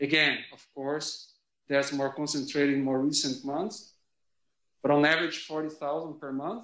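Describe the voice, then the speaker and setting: Speaking at a fairly slow pace, a man with a Brazilian accent has a fairly high pitch and fairly even intonation. His loudness swings a lot, and audible room echo fills the recording. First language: Portuguese. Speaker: sociology professor. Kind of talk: lecture. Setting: classroom, also streamed online. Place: classroom.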